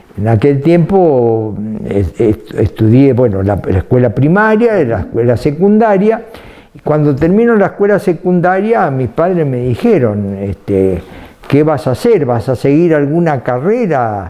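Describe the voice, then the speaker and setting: At a fairly slow pace, a man with a fairly high pitch talks with very wide pitch swings against noticeable background noise. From Argentina, Rafaela area (Santa Fe). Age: 80s+. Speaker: retired dairy company executive. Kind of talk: interview. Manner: halting, many fillers and repetitions.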